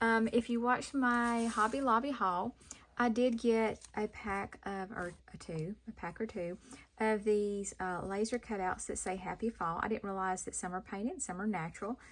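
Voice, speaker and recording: Delivered at a moderate pace with ordinary pitch variation, the speech comes in a Southern accent. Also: woman. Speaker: craft youtuber. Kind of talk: tutorial. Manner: casual, hesitant with many ums.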